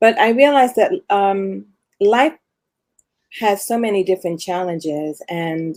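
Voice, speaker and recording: A woman with a medium-pitched voice talks at a fairly slow pace, using ordinary pitch variation. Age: 60s. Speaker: amateur marathon runner, retiree. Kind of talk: casual interview. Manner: halting.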